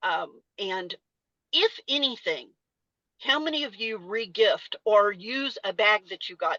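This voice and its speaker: Heard with a Texas accent, the voice has a bright, sharp tone and ordinary pitch variation in a dry, close sound with no echo. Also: woman. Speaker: salon industry educator and former salon owner. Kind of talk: webinar presentation. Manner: casual, conversational with fillers.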